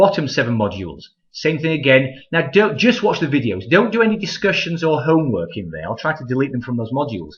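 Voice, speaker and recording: A man talks at a very fast pace with vocal fry, his pitch swinging very widely. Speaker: college math instructor. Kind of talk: tutorial. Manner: casual, frequent 'okay?' fillers.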